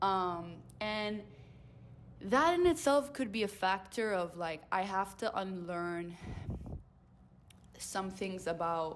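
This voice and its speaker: This woman talks very slowly. Her voice sits at a medium pitch. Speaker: vlogger. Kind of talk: personal reflection monologue. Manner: halting, with repetitions and fillers.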